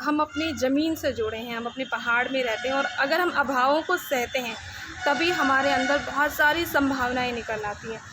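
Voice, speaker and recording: A woman's raised, projected voice, high in pitch with ordinary pitch variation, over noticeable background noise. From Rawain, Uttarakhand hills. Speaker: radio announcer. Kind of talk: interview answer.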